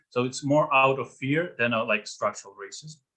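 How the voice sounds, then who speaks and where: A man speaks in a Russian accent with a fairly high pitch. His pace is fairly quick. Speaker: presenter at a club talk. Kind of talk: Q&A after a talk. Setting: video call. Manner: halting, many fillers.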